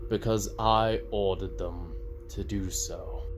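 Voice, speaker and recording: A man's put-on character voice at a fairly slow pace over loud background noise. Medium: audio drama.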